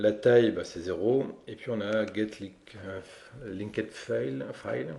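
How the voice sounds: A man's fairly low pitch with vocal fry, a dark, mellow tone, ordinary pitch variation and a fairly slow pace.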